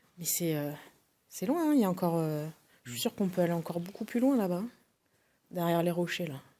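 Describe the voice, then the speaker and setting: A woman speaks at a fairly low pitch, with a dark, mellow tone and lively intonation. Her pace is very fast despite long, frequent pauses, in a very clean recording with a silent background. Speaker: paranormal investigator. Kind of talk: paranormal investigation on location. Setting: inside a cave. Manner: soft-spoken.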